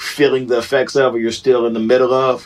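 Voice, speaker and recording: A man speaks at a medium pitch. His pace is moderate. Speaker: rapper, DJ and comedian. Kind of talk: casual podcast interview. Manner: halting, many restarts and fillers.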